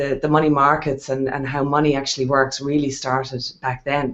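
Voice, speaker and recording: This woman has an Irish accent and a very deep, low pitch. She talks at a moderate pace. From Ireland. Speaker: wealth strategist and investor. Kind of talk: interview on a video hangout.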